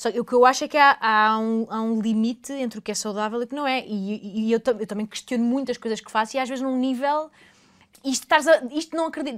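A woman speaks at a high pitch. Her loudness swings widely. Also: ordinary pitch variation, fairly quick pace. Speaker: podcast host. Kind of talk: casual interview.

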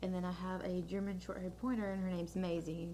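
A woman in an American accent at a fairly quick pace, with audible room echo. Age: 20s. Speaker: podcast co-host. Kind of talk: casual chat.

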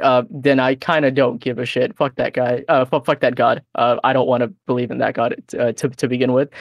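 Against a quiet background, a man at medium pitch talks at a fairly quick pace in a plain, everyday voice, in a dry, close sound with no echo. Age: 20s. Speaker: podcast co-host. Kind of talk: casual chat.

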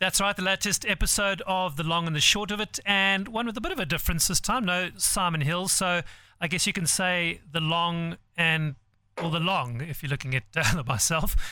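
A man with a high pitch and a bright, sharp tone speaks at a moderate pace. His pitch varies in an ordinary way on a very clean recording with a silent background. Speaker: golf podcast co-host. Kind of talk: sponsor read and podcast intro.

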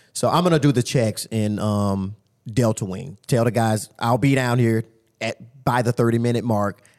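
The recording is very clean, with a silent background. A man with an unremarkable speaking voice talks at a medium pitch and a moderate pace, with ordinary pitch variation. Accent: American. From Tampa, Florida. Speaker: jail lieutenant. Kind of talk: casual interview.

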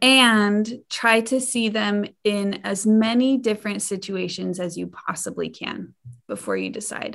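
This woman has an ordinary speaking voice and an American accent, pitched at a medium level. She speaks at a fairly slow pace with fairly even intonation over a quiet background. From Idaho. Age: 20s. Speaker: sex educator and researcher. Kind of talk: interview.

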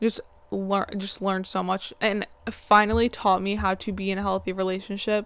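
This woman speaks at a medium pitch in a monotone, with flat intonation. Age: 20s. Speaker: podcast host. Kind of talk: casual monologue. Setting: home, in bed. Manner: fast.

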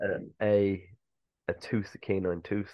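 A fairly low-pitched man with a Cork accent. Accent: Irish (Cork). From Ireland, Cork. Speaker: archaeologist. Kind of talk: interview. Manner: halting, many fillers.

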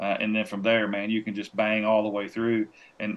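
A man's fairly low voice with a Tennessee accent and fairly even intonation. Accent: Southern US (Tennessee). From Tennessee, near Nashville. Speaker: professional hunter and outdoor TV producer. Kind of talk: casual chat.

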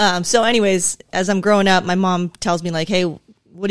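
With an American accent, a woman speaks at medium pitch and with fairly even intonation. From Southern California. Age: 40s. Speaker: police sergeant. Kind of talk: casual interview. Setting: studio.

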